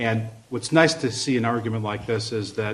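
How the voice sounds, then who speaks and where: A man talks at a moderate pace in an American accent. His delivery is somewhat breathy, with monotone, flat intonation. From US Midwest, Chicago. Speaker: law school faculty, moot court judge. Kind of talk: feedback remarks to competitors.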